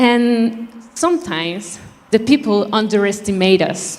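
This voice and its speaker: The speaker talks at a very slow pace in a Spanish accent. The intonation is lively. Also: woman. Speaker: beauty pageant contestant. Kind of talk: prepared speech.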